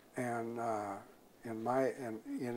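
Over light background noise, a man with an American accent speaks in a dark, mellow tone at medium pitch with fairly even intonation. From US Midwest. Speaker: state legislator. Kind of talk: interview. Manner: halting, frequent fillers. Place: studio.

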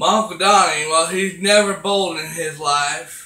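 A man uses a raised, projected voice at a very slow pace with ordinary pitch variation, and audible room echo surrounds him. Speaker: vlogger. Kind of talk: casual vlog chat. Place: home room. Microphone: webcam.

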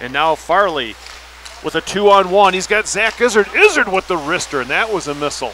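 High-pitched, raised and projected male voice with an American accent, lively intonation and a fairly quick pace, dry with no echo over light background noise. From US Midwest. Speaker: sports commentator. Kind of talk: live commentary. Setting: commentary booth at ice rink. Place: stadium.

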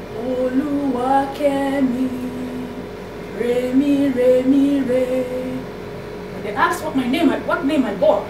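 A woman's high, sing-song voice at a very slow pace, with music in the background. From Nigeria. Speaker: poet. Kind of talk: poem performed, spoken-word poetry reading to a live audience. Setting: live open poetry reading event. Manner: rhythmic, sing-song cadence, defiant and declamatory, with pointed pauses. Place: classroom. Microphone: camera far.

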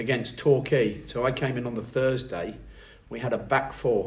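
This man's voice comes across as somewhat breathy. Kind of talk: interview answer.

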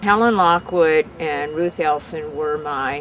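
Light background noise sits under a woman's voice, and the sound is dry with no echo. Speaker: alumna recalling teachers. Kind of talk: interview answer. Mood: fond, animated reminiscing. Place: garden.

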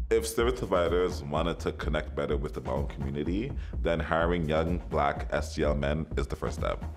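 Music plays behind a man with a Canadian accent whose pitch is very deep and low. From Toronto. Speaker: ballroom community organizer. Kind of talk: interview answer. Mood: earnest, advocating. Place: home room.

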